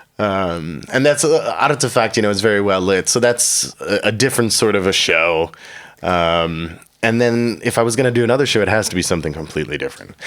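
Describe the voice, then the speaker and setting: A man in a Chicago accent talks at a fairly quick pace. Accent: American, Chicago area. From US Midwest, Chicago suburbs. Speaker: comedian and comedy show host. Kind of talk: casual interview chat. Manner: animated.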